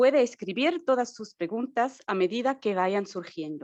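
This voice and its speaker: A woman with a non-native accent, lively intonation and a fairly slow pace. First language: not Spanish (speaking Spanish). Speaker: marketing and communications staff, webinar host. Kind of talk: webinar introduction. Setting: Zoom webinar.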